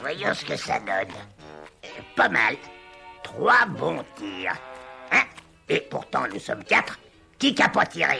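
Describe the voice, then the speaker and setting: A man's cartoonish character voice at a fairly slow pace, with faint music in the background. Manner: irritable, shouting insults.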